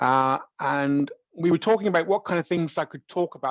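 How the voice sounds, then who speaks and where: A man with a West Country accent talks at a fairly quick pace in a dry, close sound with no echo and a quiet background. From West Country, England. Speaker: professor. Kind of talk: lecture. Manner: halting, many fillers and repetitions.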